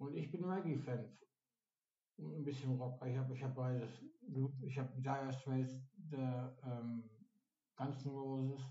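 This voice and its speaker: The voice is somewhat breathy, with ordinary pitch variation and a fairly slow pace. Long, frequent pauses break it up, and room echo is audible. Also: man, medium pitch for a man. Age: 50s. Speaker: day center client. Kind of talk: casual chat.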